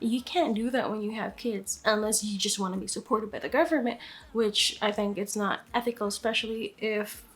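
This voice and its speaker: With a Filipino accent, a woman speaks at a moderate pace in a fairly high voice with fairly even intonation. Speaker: vlogger. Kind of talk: scripted vlog monologue. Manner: casual, conversational.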